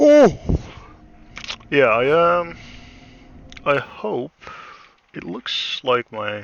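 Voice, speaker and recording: A man mumbles at a very slow pace, with long, frequent pauses, big swings in loudness and lively intonation. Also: fairly high pitch for a man. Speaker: gaming streamer. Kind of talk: gameplay commentary. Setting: live stream. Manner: mumbling; halting.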